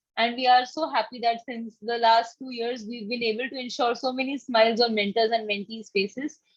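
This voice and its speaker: In an Indian accent, a woman speaks with a fairly high pitch and fairly even intonation. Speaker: campaign coordinator presenting to volunteer mentors. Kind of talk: online orientation presentation. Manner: fast.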